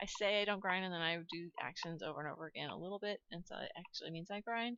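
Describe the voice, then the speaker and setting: Soft-spoken but bright and sharp in tone, a woman talks at a fairly quick pace in a dry, close sound with no echo. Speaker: gaming youtuber. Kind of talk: gameplay commentary. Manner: halting.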